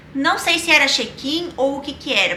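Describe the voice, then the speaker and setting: A woman projects a raised, high-pitched voice at a fairly slow pace. Noticeable background noise runs underneath. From Rio Grande do Sul, Brazil. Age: 20s. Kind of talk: casual personal storytelling to camera.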